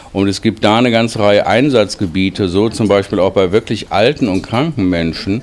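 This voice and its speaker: In an ordinary speaking voice, a man speaks at a fairly low pitch with ordinary pitch variation. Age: 50s. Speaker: diabetes researcher, professor. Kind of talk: interview. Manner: formal.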